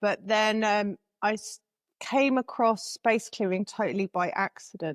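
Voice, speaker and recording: A woman with an English accent speaks at a fairly slow pace with a fairly high pitch. Her pitch varies in an ordinary way, and the sound is dry and close with no echo. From England. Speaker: spiritual guide and author. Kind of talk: interview.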